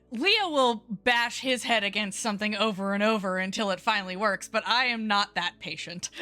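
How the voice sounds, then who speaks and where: Over noticeable background noise, a woman talks with ordinary pitch variation and hardly any pauses. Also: fairly high pitch for a woman, moderate pace. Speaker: streamer. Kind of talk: casual chat. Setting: livestream.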